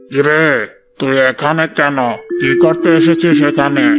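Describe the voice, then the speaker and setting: This is a cartoonish character voice with a monotone, flat intonation. It moves at a fairly slow pace. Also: man, fairly high pitch for a man. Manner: rude, scornful.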